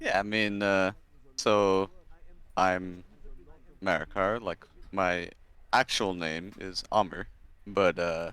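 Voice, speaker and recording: A man's very deep, low voice, bright and sharp in tone, flat and monotone, very slow with long, frequent pauses, on a very clean recording with a silent background. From Qatar (Doha), Egyptian family. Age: 20s. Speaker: medical student, gamer. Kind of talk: casual interview.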